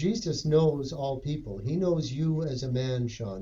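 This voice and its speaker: A somewhat breathy man with a dark, mellow tone, ordinary pitch variation and a fairly slow pace. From western Canada, Edmonton. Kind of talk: casual chat.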